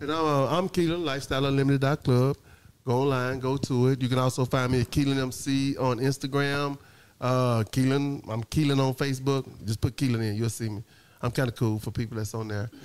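A man with an unremarkable speaking voice talks at a fairly quick pace, with medium pitch and fairly even intonation. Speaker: talk show host. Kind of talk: live talk show with audience, casual banter. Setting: on camera, live audience. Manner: game show host style, hyped up, playful.

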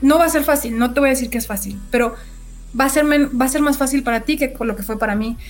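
A woman's high-pitched voice at a very fast pace. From Mexico, Sonora. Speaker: project manager, architect-engineer. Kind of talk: interview. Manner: animated.

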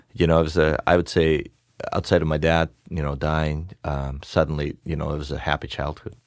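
Spoken at a fairly quick pace with a Russian accent, the delivery stays monotone and flat. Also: man, very deep, low pitch for a man. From Far East Russia. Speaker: business owner. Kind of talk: interview. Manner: halting.

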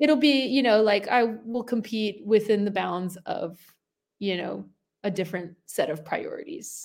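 Here a woman uses a normal speaking voice at a fairly high pitch, moving at a fairly slow pace with lively intonation. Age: 30s. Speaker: professional CrossFit athlete and coach. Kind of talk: casual interview chat.

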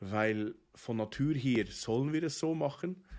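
Norwegian-accented male speech with ordinary pitch variation in a very clean recording with a silent background. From Norway, Oslo. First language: Norwegian (speaking German). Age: 30s. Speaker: rabbi. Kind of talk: casual interview. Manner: halting, many hesitations.

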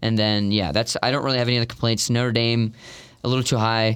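A man talks at a very fast pace in a fairly low pitch. His intonation is monotone and flat, and the recording is very clean with a silent background. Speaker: guest co-commentator, Nebraska fan. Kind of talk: casual sports debate.

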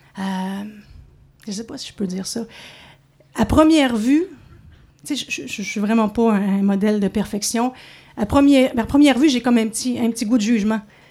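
Her tone dark and mellow, a woman talks at a moderate pace with a fairly high pitch and ordinary pitch variation. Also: long, frequent pauses, big swings in loudness. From Montreal. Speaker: radio host. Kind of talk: storytelling. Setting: stage with audience.

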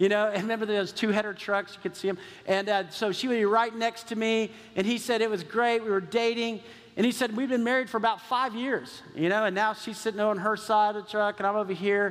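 A high-pitched man with an American accent at a fairly quick pace. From Texas. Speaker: pastor. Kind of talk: sermon. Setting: church. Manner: animated.

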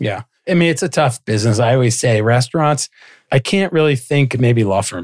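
Recorded very clean over a silent background with a dry, close sound and no echo, a man speaks at a fairly quick pace with a medium pitch and lively intonation. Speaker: podcast co-host, lawyer. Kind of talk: casual chat. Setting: studio. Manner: quiet.

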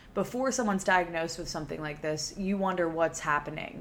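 A woman with an American accent talks at a fairly quick pace in a fairly low pitch with ordinary pitch variation. She has an unremarkable speaking voice. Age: 20s. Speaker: podcast host. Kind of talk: casual monologue. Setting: solo recording. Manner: casual, filler-heavy.

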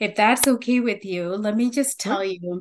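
This voice carries a warm tone and a Tamil accent, with ordinary pitch variation. It sits over a quiet background. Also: woman. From Sri Lanka. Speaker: nursing researcher and teacher. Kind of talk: interview conversation. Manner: warm, hesitant with fillers.

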